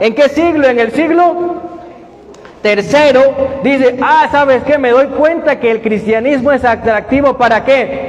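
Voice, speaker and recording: A man speaks at a fairly slow pace in an extremely high, shrill voice with an animated tone and ordinary pitch variation, over noticeable background noise. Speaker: bible study teacher. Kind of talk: bible study lecture with audience questions. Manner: animated, questioning.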